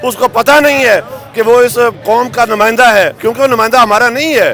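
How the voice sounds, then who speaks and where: Music plays in the background while a man with an extremely high-pitched voice speaks at a moderate pace with fairly even intonation. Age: 60s. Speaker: government employee protester. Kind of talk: interview.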